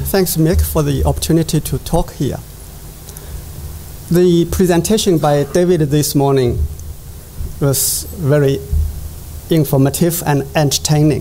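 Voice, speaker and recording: Speaking with a Chinese accent, a man with a fairly high voice talks at a fairly slow pace with fairly even intonation, very even loudness, and long, frequent pauses over noticeable background noise. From China, Jiangsu (Yangzhou). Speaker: economics professor. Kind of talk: conference presentation. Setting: conference stage with audience.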